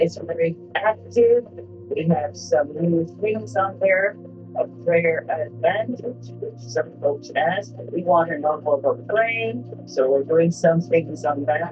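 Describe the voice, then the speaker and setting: A woman with a very deep, low pitch, speaking at a very slow pace over faint music in the background. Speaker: minister hosting a program. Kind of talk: sermon-style address to viewers.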